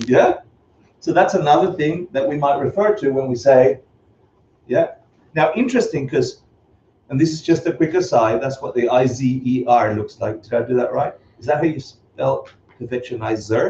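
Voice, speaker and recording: A man's fairly high yet dark, mellow, somewhat breathy voice, with lively intonation, a moderate pace and long, frequent pauses. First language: not English. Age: 50s. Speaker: Buddhist teacher. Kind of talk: lecture. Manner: animated.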